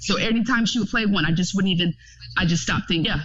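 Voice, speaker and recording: A woman's voice with noticeable background noise. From Florida. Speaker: clinical psychology doctoral student. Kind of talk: casual chat.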